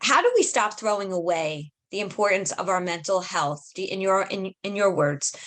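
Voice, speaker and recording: Pausing hardly at all, a woman with an American accent speaks at a medium pitch with fairly even intonation. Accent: Brooklyn accent, audible when talking fast. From New York, Brooklyn. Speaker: podcast host. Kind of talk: podcast interview.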